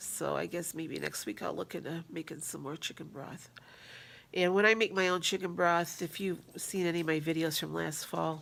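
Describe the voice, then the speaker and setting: Speaking at a moderate pace, a woman with a fairly low pitch shows vocal fry and fairly even intonation. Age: 60s. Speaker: weight-loss vlogger. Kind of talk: casual vlog update. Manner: halting, with fillers.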